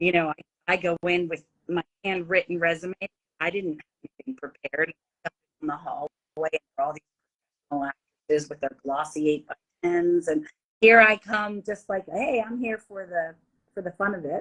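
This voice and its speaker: With long, frequent pauses and big swings in loudness, a woman speaks at a moderate pace and fairly low pitch with ordinary pitch variation, in a dry, close sound with no echo. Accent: Philadelphia. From Philadelphia, US. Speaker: actress and business speaker. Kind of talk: interview storytelling. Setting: video call. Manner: animated.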